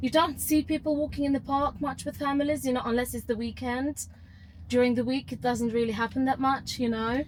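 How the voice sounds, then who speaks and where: Over noticeable background noise, a woman with a high voice speaks at a fairly quick pace with fairly even intonation. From Ukraine. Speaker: teacher, rideshare passenger. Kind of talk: casual chat. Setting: in a car. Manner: halting, many repetitions and false starts.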